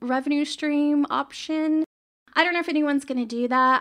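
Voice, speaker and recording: This woman's voice is raised and projected, with a bright, sharp tone. Her intonation stays fairly even. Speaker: solo podcaster. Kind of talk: casual solo monologue. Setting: home office, on camera. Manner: slow, sluggish.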